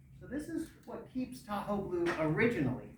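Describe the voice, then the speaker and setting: Over noticeable background noise and audible room echo, a man speaks with very wide pitch swings. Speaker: lake science educator. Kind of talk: lecture. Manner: animated.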